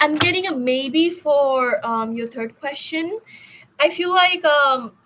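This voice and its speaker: A woman with a high pitch talks at a very slow pace, her intonation lively. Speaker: tarot reader. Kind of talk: live stream tarot reading. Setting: live stream. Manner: stuttering a bit today; hesitant, filler-heavy.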